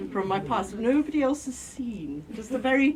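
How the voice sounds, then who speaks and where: Audible room echo and noticeable background noise surround a woman who talks at a fairly quick clip. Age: middle-aged. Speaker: mental health service user and activist. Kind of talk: talk to an audience. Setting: lecture room with audience. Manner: loud; informal, digressive. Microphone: no microphone, speaking unamplified.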